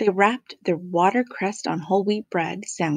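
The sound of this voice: This is an unforced reading voice over a quiet background.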